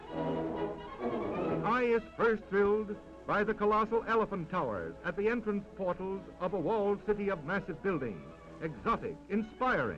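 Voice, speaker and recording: With music in the background, a man keeps to a moderate pace. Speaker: newsreel narrator. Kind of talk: vintage newsreel narration.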